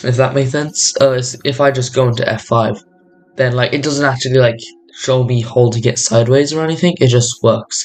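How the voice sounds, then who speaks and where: Music plays in the background. A man talks at a medium pitch. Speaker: gaming youtuber. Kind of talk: tutorial. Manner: halting, many fillers and restarts.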